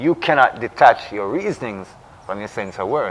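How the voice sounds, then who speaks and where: A man's pitch swings very widely. He keeps to a moderate pace. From Jamaica. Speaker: Rastafarian discussion co-host. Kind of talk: religious reasoning discussion. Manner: emphatic, repetitive.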